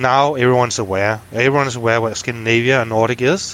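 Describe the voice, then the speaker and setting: A man of medium pitch speaks at a moderate pace with a Danish accent and ordinary pitch variation. Noticeable background noise runs underneath. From Denmark, north Zealand. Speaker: business executive. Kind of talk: interview. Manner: halting.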